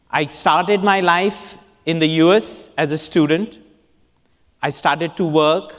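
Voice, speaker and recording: Fairly slow delivery in an Indian accent, broken by long, frequent pauses. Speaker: urban designer. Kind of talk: conference talk.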